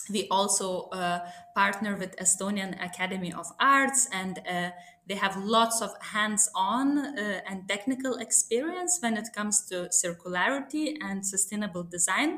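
A woman at medium pitch with ordinary pitch variation, at a fairly slow pace, over noticeable background noise. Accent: Lithuanian. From Lithuania, small town. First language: Lithuanian. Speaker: sustainability consultant. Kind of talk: podcast interview.

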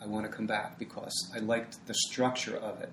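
With noticeable background noise and audible room echo, a man speaks at a moderate pace and a medium pitch in a monotone, flat intonation. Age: 60s. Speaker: yoga teacher. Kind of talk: interview.

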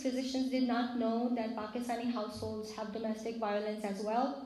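Audible room echo surrounds a woman's voice. She speaks at a high pitch and moderate pace. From Pakistan. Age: 40s. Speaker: physician. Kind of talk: personal testimony talk to a congregation.

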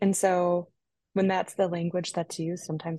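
The voice has a dark, mellow tone and is somewhat breathy. It moves at a moderate pace over a quiet background. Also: woman. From Minnesota. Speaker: executive director of a church advocacy organization. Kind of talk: casual chat.

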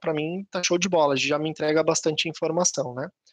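A high-pitched man's voice at a moderate pace. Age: 40s. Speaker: tech entrepreneur, guest speaker. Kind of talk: online live talk with Q&A.

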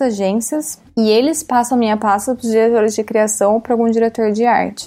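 A woman's normal speaking voice at a fairly high pitch and a fairly quick pace. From Brazil. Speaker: art director. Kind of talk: casual interview chat. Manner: casual, filler-heavy (tipo).

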